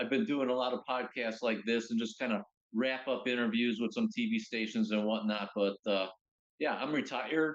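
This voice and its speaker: A plain, everyday voice at a moderate pace, with very even loudness and fairly even intonation. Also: man, medium pitch for a man. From US Midwest. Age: 60s. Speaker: retired pilot and pickleball record holder. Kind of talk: casual interview. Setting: remote call.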